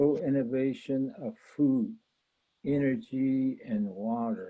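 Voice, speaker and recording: With an American accent, a man talks at a medium pitch. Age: 70s. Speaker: retired academic, panelist. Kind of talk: conference presentation. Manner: halting, many fillers.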